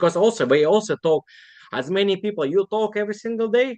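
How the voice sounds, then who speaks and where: A man talks at a moderate pace with a non-native accent and lively intonation. The sound is dry and close, with no echo. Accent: foreign. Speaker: online seller. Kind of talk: casual interview.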